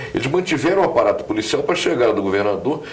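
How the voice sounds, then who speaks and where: A man speaks with an audible room echo. Noticeable background noise is present too. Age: 70s. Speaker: journalist. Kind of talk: political commentary. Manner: halting, many hesitations.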